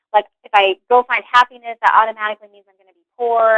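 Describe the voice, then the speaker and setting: With music in the background, a woman with an American accent talks at a very fast pace in a fairly high pitch with ordinary pitch variation. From West Virginia. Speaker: career change guest. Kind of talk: interview, personal story. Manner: casual, many fillers like 'like'.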